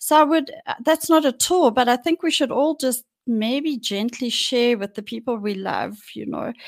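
A woman with a high pitch speaks at a moderate pace with lively intonation and hardly any pauses, in a dry, close sound with no echo. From South Africa, Johannesburg. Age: 60s. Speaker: mental health podcaster sharing personal story. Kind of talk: personal testimony interview.

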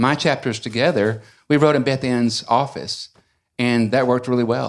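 Recorded very cleanly against a silent background, a man with an Alabama accent talks at a fairly quick pace with ordinary pitch variation. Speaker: novelist and university teacher. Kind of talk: casual chat. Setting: bookstore event with audience.

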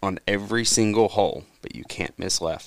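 A normal speaking voice from a man, fairly low in pitch, at a moderate pace with ordinary pitch variation. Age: 20s. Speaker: amateur golfer, league member. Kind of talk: casual chat.

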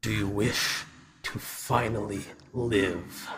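Growling and hissing, a man uses a put-on character voice at a fairly low pitch, with monotone, flat intonation and a very slow pace. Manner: menacing.

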